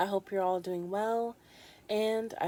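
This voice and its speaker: A woman with a plain, everyday voice, medium pitch, fairly even intonation and a fairly slow pace, on a very clean recording with a silent background. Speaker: ASMR creator. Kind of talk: casual rambling talk to camera, ASMR.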